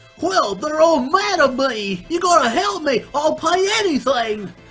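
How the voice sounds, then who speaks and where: A put-on character voice speaks at a high pitch and a moderate pace. Faint music sits in the background. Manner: panicked, pleading.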